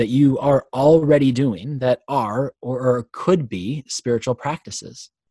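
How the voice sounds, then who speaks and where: A man speaks fairly slowly in a plain, everyday voice with ordinary pitch variation. The recording is very clean with a silent background, and the sound is dry and close with no echo. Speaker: podcast host. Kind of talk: podcast introduction, conversational.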